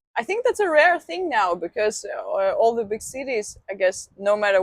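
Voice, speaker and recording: Recorded with a dry, close sound and no echo, a woman with a Russian accent speaks at a moderate pace with lively intonation. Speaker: video blogger, interviewer. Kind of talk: casual interview.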